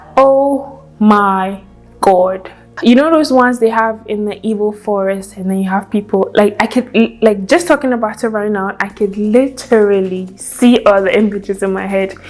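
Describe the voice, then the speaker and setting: There is noticeable background noise as a woman speaks with a Nigerian accent. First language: Hausa. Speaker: YouTuber. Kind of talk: casual chat.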